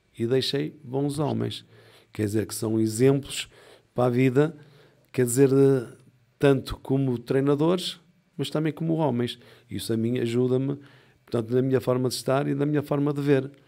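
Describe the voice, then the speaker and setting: A man with a dark, mellow tone speaks at a medium pitch and a moderate pace, with ordinary pitch variation. He leaves long, frequent pauses on a very clean recording with a silent background. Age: 60s. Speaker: boxing coach. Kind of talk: interview.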